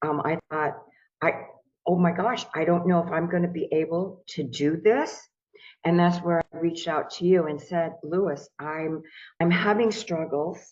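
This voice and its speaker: A woman speaks fairly slowly in a plain, everyday voice, fairly low in pitch, with fairly even intonation. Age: 60s. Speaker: crypto course student. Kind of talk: testimonial interview.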